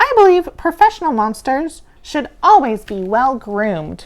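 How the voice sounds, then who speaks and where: In a put-on character voice, a woman speaks at a moderate pace in a high pitch with very wide pitch swings. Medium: read story. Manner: refined, polite.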